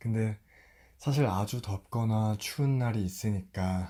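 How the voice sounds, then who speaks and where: On a very clean recording with a silent background, a man's voice has a dark, mellow tone. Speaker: storyteller. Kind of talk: casual chat to listener. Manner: soft-spoken.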